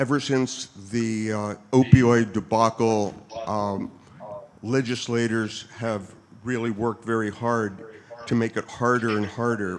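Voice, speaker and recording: Over noticeable background noise, a man speaks at a medium pitch and a fairly slow pace in a monotone, flat intonation. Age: 70s. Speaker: military veteran. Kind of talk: question at town hall.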